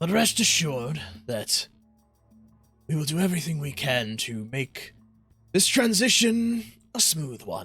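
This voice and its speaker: Using a put-on character voice, a man speaks at a fairly high pitch with very wide pitch swings and a moderate pace, leaving long, frequent pauses as faint music plays in the background. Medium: actual play. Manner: formal, speechmaking.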